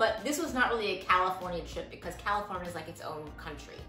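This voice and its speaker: Faint music plays behind a woman whose voice carries audible room echo. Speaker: van life vlogger. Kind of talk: casual vlog Q&A answer. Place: home room. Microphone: camera far.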